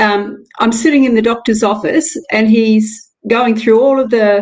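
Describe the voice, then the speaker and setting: Here is an ordinary speaking voice, and its pitch varies in an ordinary way. The pace stays moderate. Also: woman. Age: 60s. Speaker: live stream host. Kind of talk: interview conversation. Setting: live stream.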